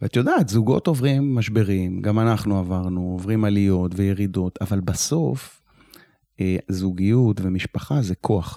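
It is a plain, everyday voice, speaking at a fairly slow pace. Pitch varies in an ordinary way. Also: man, fairly low pitch for a man. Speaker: retired security officer and nonprofit founder. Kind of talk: interview conversation.

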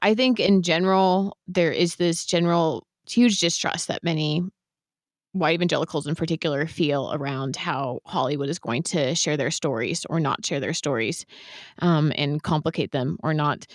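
A woman's plain, everyday voice with an American accent, fairly low in pitch, with ordinary pitch variation at a moderate pace, in a dry, close sound with no echo. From US West Coast, San Francisco Bay Area. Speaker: podcast host. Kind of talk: interview conversation.

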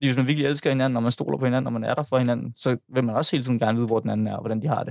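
A man of medium pitch speaks at a very fast pace with ordinary pitch variation. The sound is dry and close, with no echo. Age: 20s. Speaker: podcast guest. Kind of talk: casual chat. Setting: studio. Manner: halting.

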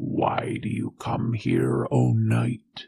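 This put-on character voice is raspy and growling. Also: man, very deep, low pitch for a man. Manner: menacing.

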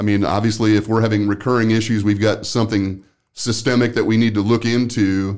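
A man speaks at a fairly quick pace with very even loudness, a fairly low pitch and monotone, flat intonation, on a very clean recording with a silent background. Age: 60s. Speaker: workplace safety consultant and podcast host. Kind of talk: casual interview.

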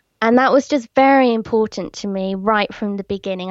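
The speaker has an English accent. The sound is dry and close, with no echo. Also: woman. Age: 30s. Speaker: blogger and podcaster. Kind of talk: casual interview chat.

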